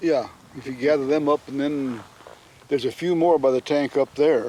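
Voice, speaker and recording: Here a man has an ordinary speaking voice with fairly high pitch and fairly even intonation. He keeps a moderate pace, and the sound is dry and close with no echo. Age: 60s. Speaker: bison rancher. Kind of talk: casual chat.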